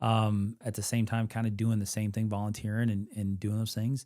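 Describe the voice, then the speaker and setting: Speaking at a fairly quick pace with a slight Kentucky accent, a man uses a fairly low pitch, a dark, mellow tone and monotone, flat intonation on a very clean recording with a silent background. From Western Kentucky, US. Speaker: military veteran, nonprofit camp director. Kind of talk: casual interview. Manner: halting, many fillers.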